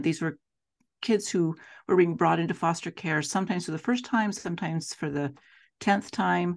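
A woman with an American accent speaks at a fairly low pitch with vocal fry and ordinary pitch variation. Her pace is fairly quick, and the background is quiet. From Utah (Salt Lake City). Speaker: foster care trainer. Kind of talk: interview conversation.

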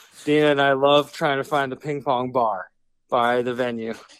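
Using a plain, everyday voice, a man talks at a moderate pace and fairly high pitch with fairly even intonation. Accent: American. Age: 40s. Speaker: rock musician. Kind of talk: interview.

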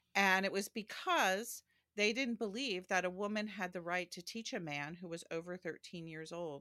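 Big swings in loudness mark this bright, sharp voice, which moves at a moderate pace with ordinary pitch variation and a dry, close sound with no echo. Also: woman. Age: 60s. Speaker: historian and theologian. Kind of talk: interview conversation. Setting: home office.

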